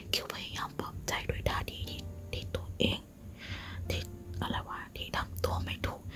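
The speaker whispers. Noticeable background noise is present. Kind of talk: ASMR whispered novel reading. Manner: whispered.

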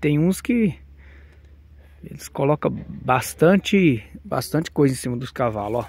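A man speaks at a fairly slow pace in a medium pitch, somewhat breathy, with lively intonation. The sound is dry with no echo. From Brazil, Minas Gerais. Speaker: video blogger. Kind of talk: casual vlog commentary. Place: farm. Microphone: phone near.

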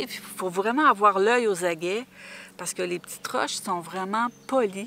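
Moderately paced speech with ordinary pitch variation and a dry sound with no echo. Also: woman. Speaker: travel vlogger. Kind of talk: casual vlog chat. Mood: warm, nostalgic.

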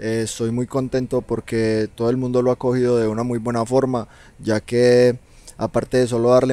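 A man's dark, mellow, medium-pitched voice in a Colombian paisa accent, monotone and flat, with a dry sound and no echo. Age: 20s. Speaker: reggaeton singer; guest. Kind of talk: interview. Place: studio. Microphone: handheld.

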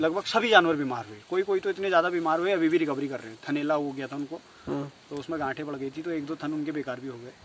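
Over light background noise, a man speaks at a very fast pace in a fairly high pitch with ordinary pitch variation and big swings in loudness, in a dry sound with no echo. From Uttarakhand. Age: 20s. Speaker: dairy farmer. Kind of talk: interview. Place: farm machine.

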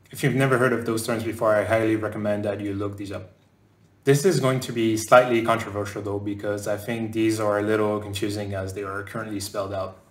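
Amid audible room echo, a man with fairly low pitch speaks at a very fast pace in monotone, flat intonation. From France, raised partly in southern North America. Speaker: game animator. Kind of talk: conference talk. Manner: hesitant fillers. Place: home room.

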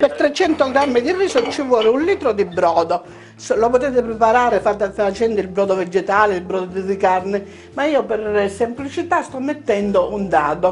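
A woman's lively intonation at a moderate pace over light background noise. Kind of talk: cooking tutorial. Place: kitchen. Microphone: lapel.

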